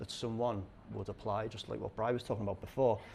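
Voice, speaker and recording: Spoken with a Liverpool accent, the voice has monotone, flat intonation and vocal fry. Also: man. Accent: Scouse. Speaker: conference speaker on recruitment. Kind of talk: conference talk. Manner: halting, many fillers.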